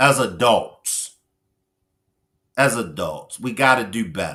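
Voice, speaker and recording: A man with an American accent speaks at a medium pitch in a bright, sharp tone with vocal fry. His pitch swings very widely and his loudness shifts a lot, with long, frequent pauses. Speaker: livestream commentator. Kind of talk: live stream chat with viewers. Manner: animated.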